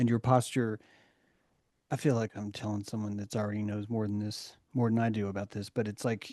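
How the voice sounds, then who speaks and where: In a flat monotone with an American accent, a man speaks at a fairly low pitch with a dark, mellow tone, the sound dry and close with no echo against a quiet background. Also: fairly quick pace. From US South (Chattanooga, Tennessee). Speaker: discussion group facilitator. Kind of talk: group discussion.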